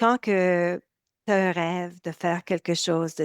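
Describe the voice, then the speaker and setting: A woman with a Canadian French accent, fairly low in pitch and very slow in pace. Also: dry, close sound with no echo, very clean recording, silent background. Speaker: nutrition coach. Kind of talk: interview.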